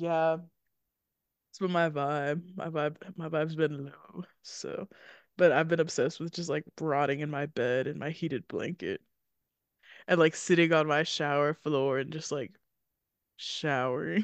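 A woman speaks with an American accent, leaving long, frequent pauses, in a dry, close sound with no echo over a quiet background. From US Kentucky. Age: 20s. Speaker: film podcast co-host. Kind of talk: casual chat. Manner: animated, talkative, jokey.

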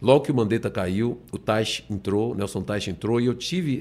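A man talks at a moderate speed in a very clean recording where the background is silent. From Bahia, Salvador. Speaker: politician. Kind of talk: interview.

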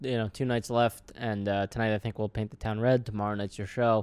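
An American man with a plain, everyday voice speaks at a medium pitch and fairly even intonation. The recording is very clean and dry, close with no echo and a silent background. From New York City (the Bronx). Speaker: comedian and podcast host. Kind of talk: casual chat.

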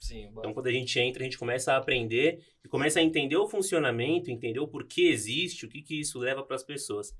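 A man's voice, fairly high in pitch. He speaks at a very fast pace. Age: 20s. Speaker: bank employee. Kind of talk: casual chat.

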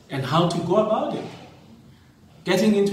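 This man speaks with fairly even intonation. Audible room echo and noticeable background noise fill the recording. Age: 30s. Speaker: teacher and podcast host. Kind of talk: casual monologue.

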